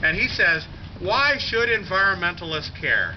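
Light background noise is present. Over it, a man talks at a moderate pace. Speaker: speaker. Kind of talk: rally speech. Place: street. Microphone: camera far.

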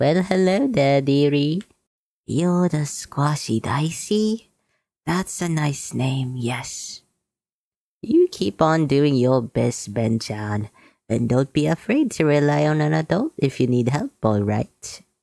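In a dry, close recording with no echo, a woman with a very deep, low pitch speaks at a fairly slow pace with lively intonation. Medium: voice reel. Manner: warm, gentle, doting.

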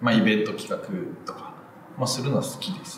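This man's voice makes very wide pitch swings. There is audible room echo and light background noise. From Japan, Ehime. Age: 30s. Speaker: film director, screenwriter. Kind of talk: interview answer. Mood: relaxed, smiling, reflective. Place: empty room.

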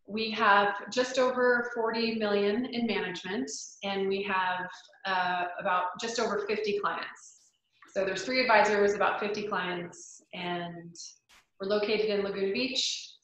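Over light background noise and audible room echo, a woman speaks at a medium pitch and a fairly slow pace with fairly even intonation. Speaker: financial planner. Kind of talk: educational presentation. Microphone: video call.

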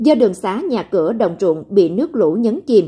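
Pitched fairly high, a woman's somewhat breathy voice carries a dark, mellow tone. She speaks at a fairly slow pace with very wide pitch swings. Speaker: news presenter. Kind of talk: news reading. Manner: formal.

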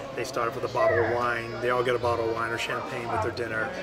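Loud music plays in the background. Over it, a man talks at a very fast pace. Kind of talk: interview answer. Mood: warm, proud. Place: cafe.

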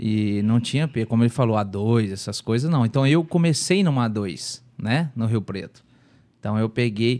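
A man speaks at a moderate pace with a dark, mellow tone and lively intonation against a quiet background. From Brazil. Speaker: former footballer; podcast guest. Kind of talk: casual chat. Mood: relaxed, reflective storytelling. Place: studio. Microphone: studio mic.

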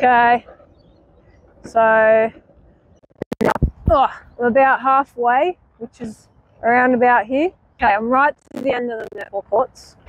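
Speaking slowly with long, frequent pauses, a woman uses a fairly high pitch and fairly even intonation.

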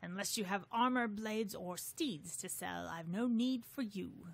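A bellowing, put-on character voice, female-sounding, at a medium pitch for a woman and a moderate pace. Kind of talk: archaic, medieval. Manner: roaring, dismissive, haughty.

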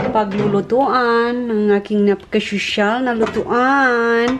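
A woman at a very slow pace with fairly even intonation, noticeable background noise behind her. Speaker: home cooking vlogger. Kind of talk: casual cooking vlog talk. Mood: playful, self-teasing. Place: kitchen. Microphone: phone near.

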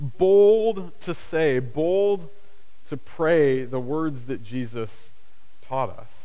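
A man with a fairly high pitch speaks very slowly with very wide pitch swings over a quiet background. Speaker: pastor. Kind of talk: sermon; prayer. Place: church.

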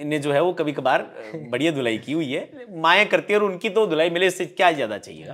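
A fairly high-pitched man with lively intonation, at a moderate pace. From Rajasthan. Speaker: stage anchor and motivational speaker; stage anchor, motivational speaker. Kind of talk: interview conversation. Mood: relaxed, smiling storytelling. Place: home room. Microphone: lapel.

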